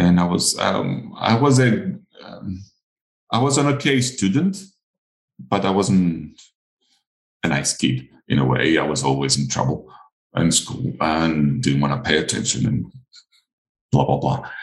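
A man with a Greek accent speaks at a fairly slow pace, leaving long, frequent pauses. His pitch is very deep and low, with very wide swings. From Greece (Crete). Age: 40s. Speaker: olive farmer and coloured pencil artist. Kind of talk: casual interview chat. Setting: video call.

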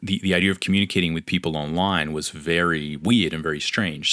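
A man's very deep, low voice with a bright, sharp tone, racing at a very fast pace in an Australian accent. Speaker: comic book artist and podcaster. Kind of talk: solo podcast monologue. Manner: candid, conversational.

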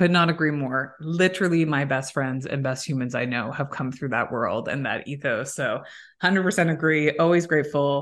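Against a quiet background, a woman talks with a Canadian accent. Her voice is very deep and low, with ordinary pitch variation. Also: moderate pace. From Canada, Waterloo Ontario. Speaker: podcast host and recruitment founder. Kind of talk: casual interview chat.

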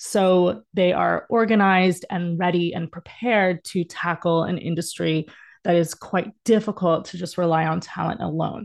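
Against a quiet background, a woman with a fairly low pitch talks at a moderate pace with fairly even intonation and hardly any pauses. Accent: American. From Texas (Dallas). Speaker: dance educator and talent manager. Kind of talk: casual interview chat.

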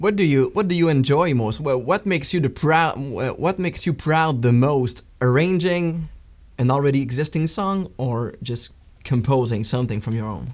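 A man with a Quebec French accent speaks at a moderate pace with lively intonation and a fairly high pitch. The recording is very clean, with a silent background. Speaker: podcast host, guitarist. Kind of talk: interview. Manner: halting.

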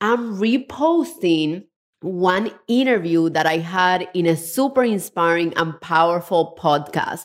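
A woman with a Spanish accent, medium in pitch, lively in intonation and enthusiastic in tone

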